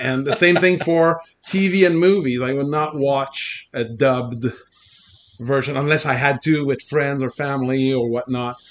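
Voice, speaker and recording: With a slight Quebec accent, a man talks at a fairly high pitch. His pitch varies in an ordinary way. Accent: light Québécois French accent in English. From Quebec, Abitibi region. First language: French. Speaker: computer programmer and former political candidate. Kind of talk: casual interview conversation. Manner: good-humored, laughs often.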